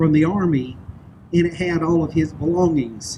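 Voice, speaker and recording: Here is a man with a Southern US accent. His pitch is high, and he speaks at a moderate pace. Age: 60s. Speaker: public speaker. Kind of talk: speech.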